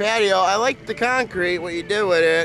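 Projecting a raised voice, a man speaks at a fairly slow pace with ordinary pitch variation. The sound is dry with no echo, and faint music plays in the background. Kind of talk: casual home video chat. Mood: playful, joking. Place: boat. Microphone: phone near.

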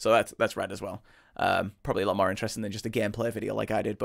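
Against a quiet background, a man talks very fast in a fairly low, monotone voice with flat intonation. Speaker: streamer reacting to music. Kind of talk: casual stream chat. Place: home room.

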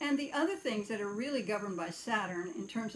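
A somewhat breathy woman with an American accent and a fairly high pitch speaks with very wide pitch swings. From US West, Idaho. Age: 70s. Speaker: astrologer and philosopher. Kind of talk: personal monologue vlog. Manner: halting, many fillers. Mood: calm, reflective. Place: home room. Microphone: phone near.

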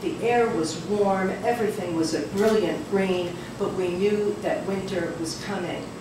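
Fairly slow speech with ordinary pitch variation, audible room echo and noticeable background noise. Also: woman. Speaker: poet reading her work. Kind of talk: poetry reading. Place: cafe.

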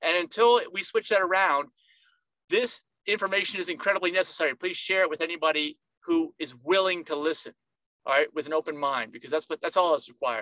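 Very fast and bright, sharp in tone, a man with a high pitch speaks with ordinary pitch variation in a dry sound with no echo over a quiet background. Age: 50s. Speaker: nutritionist, video host. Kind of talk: informal educational monologue to camera. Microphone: webcam.

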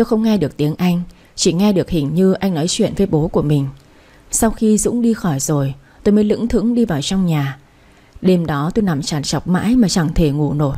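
A woman talks at a fairly quick pace with lively intonation, a fairly low pitch and a somewhat breathy voice. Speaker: radio story narrator. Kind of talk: audiobook story narration. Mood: calm, gentle storytelling. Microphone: studio mic.

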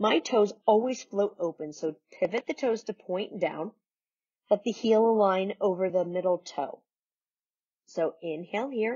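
A woman speaks at a fairly slow pace in a calm, soothing tone against a quiet background. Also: ordinary pitch variation. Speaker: yoga instructor. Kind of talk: guided yoga class. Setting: home video recording. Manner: calm, soothing, and instructional; warm and encouraging. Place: home room.

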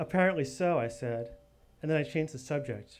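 A man speaks at a fairly quick pace with ordinary pitch variation over light background noise. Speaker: storyteller performer. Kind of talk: storytelling reading. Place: bar. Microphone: studio mic.

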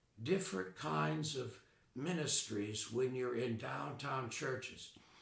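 Heard with audible room echo, a man with an American accent talks at a medium pitch with lively intonation. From US South, western North Carolina mill town (born Chicago). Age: 80s+. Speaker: retired Episcopal priest. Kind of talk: oral history interview. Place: home room.

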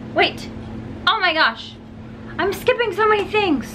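A woman uses a raised, projected voice against noticeable background noise. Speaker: beauty vlogger. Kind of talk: tutorial. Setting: at home, in a converted garage room. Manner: casual, chatty. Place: home room. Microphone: phone near.

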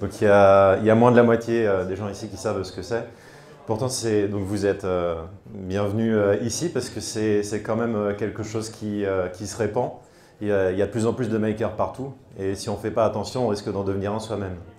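A man with a fairly low pitch talks at a fairly quick pace in a monotone, flat delivery, leaving long, frequent pauses, with light background noise and audible room echo. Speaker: author and innovation speaker. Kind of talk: conference talk. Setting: stage with audience. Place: hall. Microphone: handheld.

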